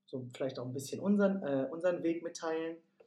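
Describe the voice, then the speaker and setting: Here a man is speaking. His intonation is lively. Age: 20s. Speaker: podcast co-host, yoga studio manager. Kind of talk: casual chat. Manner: hesitant, many fillers.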